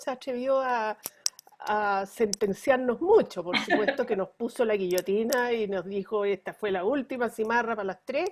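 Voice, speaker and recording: A woman talks with a fairly high pitch and ordinary pitch variation. Hers is an unremarkable speaking voice. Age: 60s. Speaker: pediatrician. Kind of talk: interview.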